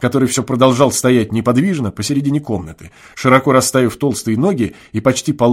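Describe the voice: This is plain reading aloud. The text is read without embellishment.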